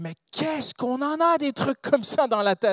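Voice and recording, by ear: The speaker has a non-native accent and a fairly bright tone. The sound is dry and close with no echo. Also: man. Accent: non-native French, foreign-accented.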